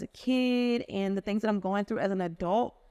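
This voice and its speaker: A woman with an American accent, medium pitch and ordinary pitch variation at a moderate pace, on a very clean recording with a silent background. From US Midwest, Chicago. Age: 20s. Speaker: podcast host. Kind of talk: casual monologue. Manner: animated.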